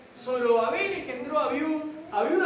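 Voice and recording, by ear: High pitch from a woman, with audible room echo around the voice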